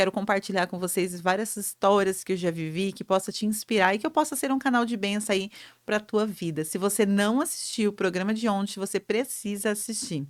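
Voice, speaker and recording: Animated woman's voice at medium pitch, fairly quick with hardly any pauses, ordinary pitch variation. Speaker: entrepreneurship show host. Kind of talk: motivational talk.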